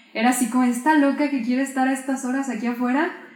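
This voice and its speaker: Over noticeable background noise and audible room echo, a woman talks at a very fast pace in a high voice. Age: 20s. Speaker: photographer. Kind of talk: interview. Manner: calm, soft-spoken.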